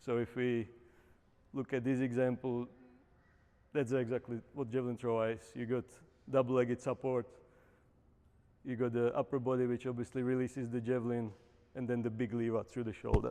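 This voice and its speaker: A man's dark, mellow voice with a Czech accent, medium pitch, monotone, flat intonation and a fairly quick pace broken by long, frequent pauses. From Czech Republic. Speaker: Paralympic javelin thrower and coach. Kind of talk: lecture. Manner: hesitant, many fillers.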